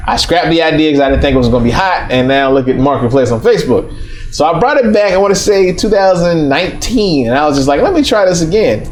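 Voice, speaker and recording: Very fast and fairly high-pitched, a man speaks with lively intonation and very even loudness, with audible room echo and noticeable background noise. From US South, East Atlanta, Georgia. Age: 30s. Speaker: restaurant owner and entrepreneur. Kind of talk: interview. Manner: casual, with filler words.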